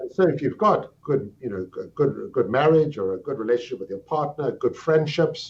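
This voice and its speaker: A man's fairly high-pitched voice with a South African accent, vocal fry, very wide pitch swings, a moderate pace and hardly any pauses. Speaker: psychiatry professor. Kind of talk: interview. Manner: articulate, explanatory.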